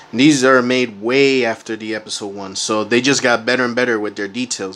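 The pace is fairly quick. It's a man's voice. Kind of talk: casual unboxing commentary. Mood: relaxed, pleased. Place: home room. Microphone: phone near.

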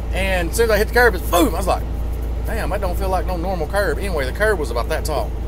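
Against noticeable background noise, a man speaks very fast in a dry sound with no echo. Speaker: truck driver vlogger. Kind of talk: casual vlog chat. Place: car. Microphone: phone near.

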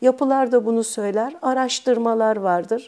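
A woman speaks with a quiet background. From Turkey, Bursa; Turkey. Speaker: art history professor. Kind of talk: expert interview monologue. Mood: calm, explanatory. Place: studio. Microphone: lapel.

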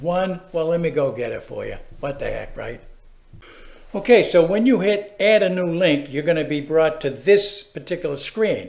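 A man with a Massachusetts accent speaks at a moderate pace in a high pitch, with ordinary pitch variation and big swings in loudness. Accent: New England (Massachusetts). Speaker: how-to video presenter. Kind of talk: tutorial. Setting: screen-recorded video. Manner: casual, chatty, animated.

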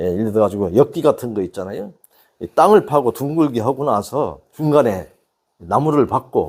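A man at a medium pitch and moderate pace, with very wide pitch swings, on a very clean recording with a silent background. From rural South Korea. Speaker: natural health instructor. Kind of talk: health talk to camera.

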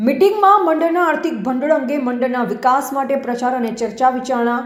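With audible room echo and noticeable background noise, a woman speaks in a high pitch with ordinary pitch variation. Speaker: news reporter. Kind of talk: news reading.

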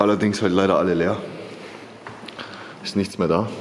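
With light background noise, a man speaks at a very deep, low pitch in monotone, flat intonation. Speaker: vlogger. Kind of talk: casual vlog commentary. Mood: amazed, slightly disgusted. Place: tunnel cave. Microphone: phone near.

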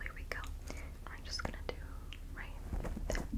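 A woman whispers. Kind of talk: soft-spoken role-play talk to viewer. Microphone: phone near.

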